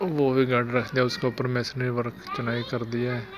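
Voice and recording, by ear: A man with a medium pitch talks at a moderate pace.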